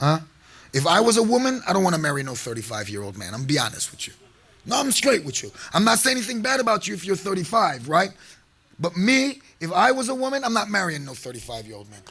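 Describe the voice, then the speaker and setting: Animated and very fast, a man speaks at a high pitch with very wide pitch swings and big swings in loudness over noticeable background noise. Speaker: sheikh / preacher. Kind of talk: sermon.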